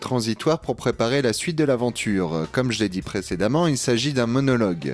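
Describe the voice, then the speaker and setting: Noticeable background noise accompanies a man's medium-pitched voice. He speaks at a fairly quick pace with lively intonation. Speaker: podcast panelist reviewing audio dramas. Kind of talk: review show chat.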